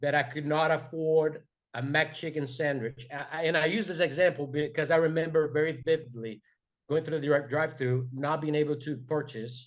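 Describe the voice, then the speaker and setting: A man's fairly high voice at a moderate pace, with fairly even intonation and a Brazilian accent. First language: Portuguese. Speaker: entrepreneur. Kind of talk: motivational talk. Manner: halting, many fillers; passionate.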